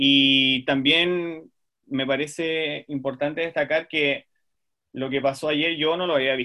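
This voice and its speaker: Delivered in a Chilean accent, the speech moves at a very slow pace. The intonation is monotone and flat. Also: man, fairly high pitch for a man. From southern Chile, Puerto Montt. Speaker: speech therapist. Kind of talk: casual chat.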